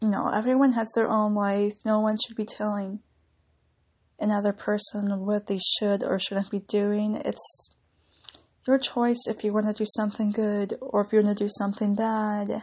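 The woman's voice is fairly high and somewhat breathy. She talks at a moderate pace with monotone, flat intonation. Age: 20s. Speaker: YouTuber and actress in training. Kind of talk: casual solo podcast monologue. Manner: pauses to think.

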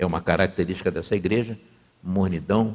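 A man's very deep, low voice keeps fairly even intonation at a moderate pace. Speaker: pastor. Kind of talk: sermon. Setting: church. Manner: conversational.

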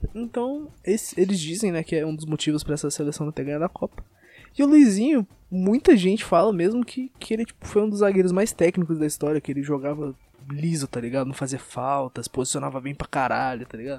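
Talking at a very fast pace with lively intonation, this voice has a dark, mellow tone and a Brazilian accent, recorded dry and close with no echo in a very clean, silent setting. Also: man, fairly high pitch for a man. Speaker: podcast host. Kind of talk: casual chat.

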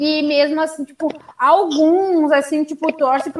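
Through noticeable background noise, a woman with a southern Brazilian accent speaks at a moderate pace in a high voice with fairly even intonation. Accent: gaúcho. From Rio Grande do Sul, Brazil. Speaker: sports show host. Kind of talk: casual chat about football.

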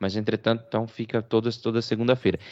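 Medium in pitch, this man has an unremarkable speaking voice. He talks at a fairly quick pace. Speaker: podcast co-host. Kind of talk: casual chat.

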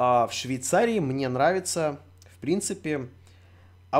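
The recording is very clean, with a silent background. A man speaks at a fairly slow pace in an animated tone. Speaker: streamer. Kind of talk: live stream chat.

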